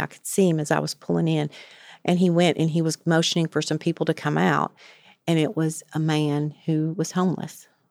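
In a very deep, low voice, a woman with a Southern US accent speaks at a moderate pace with monotone, flat intonation, in a very clean recording with a silent background and a dry, close sound with no echo. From rural West Tennessee. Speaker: addiction treatment clinical director, recovery alumna. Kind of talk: interview, personal testimony. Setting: studio.

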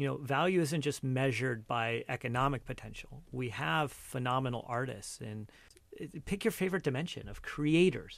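Speaking with an American accent, a man has an ordinary speaking voice, a medium pitch, lively intonation and a moderate pace. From Cupertino, California. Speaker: entrepreneur. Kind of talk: interview.

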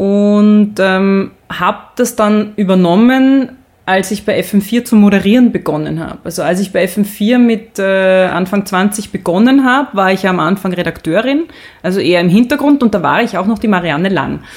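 The pace is moderate, and the pitch varies in an ordinary way. It is a plain, everyday voice. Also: woman, medium pitch for a woman. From Austria. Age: 40s. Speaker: sports presenter and podcaster. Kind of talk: casual interview. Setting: photo studio.

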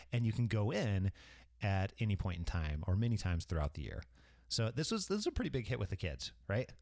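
A man speaks in an ordinary speaking voice, fairly low in pitch. He moves at a fairly quick pace in a very clean recording with a silent background. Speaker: podcast host. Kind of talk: casual travel chat.

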